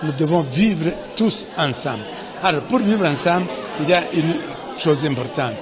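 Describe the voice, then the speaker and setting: A man's voice with audible room echo and crowd noise in the background. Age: 60s. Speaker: genocide survivor speaking at a commemoration. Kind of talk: commemorative speech.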